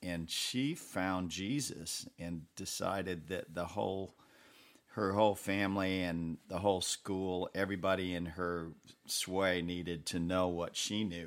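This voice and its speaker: On a very clean recording with a silent background, a man speaks with an American accent at a very deep, low pitch. His pace is fairly slow and his intonation fairly even. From Western New York. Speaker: session musician. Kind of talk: interview conversation.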